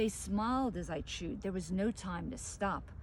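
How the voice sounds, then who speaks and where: A woman with an American accent at a fairly slow pace, noticeable background noise behind her. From New York City. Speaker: author and poet. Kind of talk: reading aloud.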